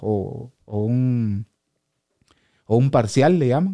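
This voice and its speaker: A man's dark, mellow voice at medium pitch with ordinary pitch variation, on a very clean recording with a silent background. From Guatemala, Quetzaltenango. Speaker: professional cyclist. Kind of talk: interview. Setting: studio.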